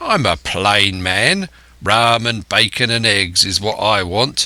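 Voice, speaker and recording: Putting on a raspy character voice, a man speaks fairly slowly with fairly low pitch, ordinary pitch variation and very even loudness. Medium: read story. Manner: rough, coarse, commanding.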